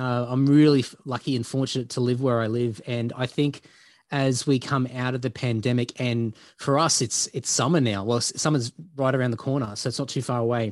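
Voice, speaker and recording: A man with an Australian accent, medium pitch, fairly even intonation and a moderate pace. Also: quiet background. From Queensland, Australia. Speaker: heavy metal bassist and podcaster. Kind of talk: casual interview.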